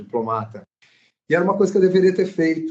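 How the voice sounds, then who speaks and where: This man's voice is somewhat breathy. His pitch swings very widely. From Brasília, Brazil. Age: 50s. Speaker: actor. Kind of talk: casual chat. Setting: live stream.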